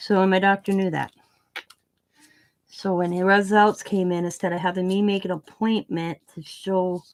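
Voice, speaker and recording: The speaker mumbles quietly at a moderate pace, with long, frequent pauses. The intonation is monotone and flat. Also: woman, medium pitch for a woman. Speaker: craft YouTuber. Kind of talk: casual live stream chat. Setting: home live stream with camera. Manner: mumbling, trails off quieter; talkative, rambling.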